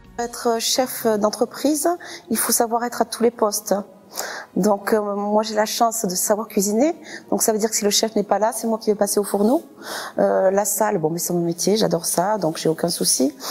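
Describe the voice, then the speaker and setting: A woman talks at a moderate pace with fairly high pitch. Noticeable background noise can be heard. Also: ordinary pitch variation. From southern France, Toulouse area (Saint-Orens). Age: 40s. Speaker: restaurant owner. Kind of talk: interview. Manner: hesitant, many fillers.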